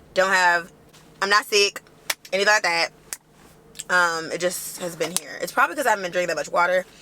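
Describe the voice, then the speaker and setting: Talking at a very fast pace, a woman with a medium-pitched voice sounds animated over noticeable background noise. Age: 20s. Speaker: lifestyle vlogger and entrepreneur. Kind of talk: casual chat. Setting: in a car.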